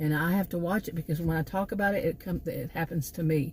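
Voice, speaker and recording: Somewhat breathy and fairly low in pitch, a woman talks at a fairly quick pace with a Texan accent. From Texas. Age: 60s. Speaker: vlogger, former college teacher. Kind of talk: casual vlog monologue. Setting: in her car. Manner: halting, many fillers and repeats.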